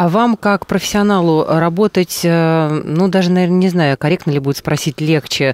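With a dry sound and no echo over a quiet background, a man speaks at a fairly quick pace with ordinary pitch variation. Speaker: radio host. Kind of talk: radio interview. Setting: studio. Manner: formal. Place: studio. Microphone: studio mic.

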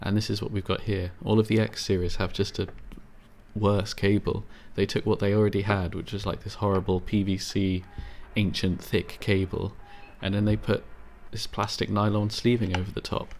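Monotone, flat intonation and vocal fry mark this man's fairly low-pitched voice. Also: moderate pace. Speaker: headphone repair technician. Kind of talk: tutorial voice-over. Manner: soft, ASMR-style.

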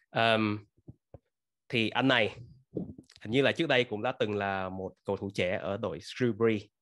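This man has a fairly low pitch with ordinary pitch variation. He talks at a moderate pace with long, frequent pauses. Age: 30s. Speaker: football fan channel host. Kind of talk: casual reaction commentary; casual commentary, news reaction. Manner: halting with many fillers. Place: home room. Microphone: webcam.

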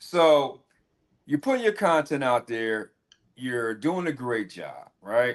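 A man's medium-pitched voice, very slow in pace, with lively intonation over a quiet background. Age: 50s. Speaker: podcast host. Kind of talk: interview.

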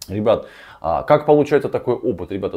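The voice is dark and mellow with vocal fry, swinging very widely in pitch at a very fast pace. The background is quiet. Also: man. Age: 30s. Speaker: relationship blogger and coach; psychology blogger. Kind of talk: video commentary on a viewer's story. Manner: rambling, filler-heavy speech. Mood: casual, slightly ironic. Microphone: lapel.

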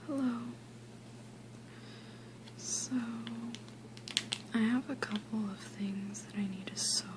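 The speaker talks softly at a very slow pace, with long, frequent pauses. Noticeable background noise sits behind the voice. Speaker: ASMR creator. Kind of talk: ASMR soft-spoken sewing kit sounds video. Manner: soft-spoken. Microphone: phone near.

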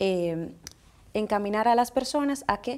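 This woman's voice has a dark, mellow tone. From Dominican Republic. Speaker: makeup artist; guest. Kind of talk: interview. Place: studio.

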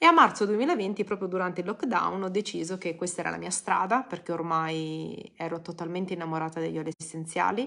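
A woman's fairly low-pitched voice with a bright, sharp tone and vocal fry, a fairly quick pace with hardly any pauses, ordinary pitch variation, and a quiet background. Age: 40s. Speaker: blogger and essential oils seller; essential oils seller. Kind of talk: live stream talk. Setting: social media live video. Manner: casual, hesitant with fillers. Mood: warm, personal, smiling. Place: home room. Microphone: phone near.

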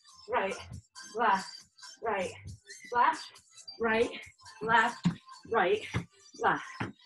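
With clear music in the background, a woman speaks at a very slow pace and ordinary pitch variation. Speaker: fitness instructor. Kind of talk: workout instruction. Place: home room. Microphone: camera far.

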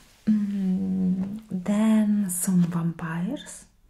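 A soft-spoken woman with fairly even intonation. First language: not English. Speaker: ASMR content creator. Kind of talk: soft-spoken ASMR ramble. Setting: home recording at a desk. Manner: giggly, rambling. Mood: grateful, playful. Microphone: studio mic.

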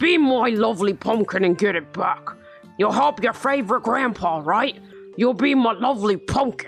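Against clear music in the background, a put-on character voice talks at a fairly high pitch and moderate pace. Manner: coaxing, sweet.

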